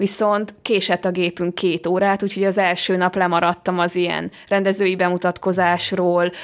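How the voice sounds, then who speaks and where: Speaking at a moderate pace with hardly any pauses, a woman keeps a medium pitch, very even loudness and monotone, flat intonation. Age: young. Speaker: film director. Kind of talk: interview. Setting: hotel room.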